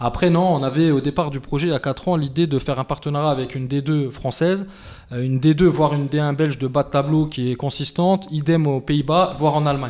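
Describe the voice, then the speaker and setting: This man's intonation is fairly even. He talks very fast. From France. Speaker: football club president. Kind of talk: podcast interview. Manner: hesitant, many fillers.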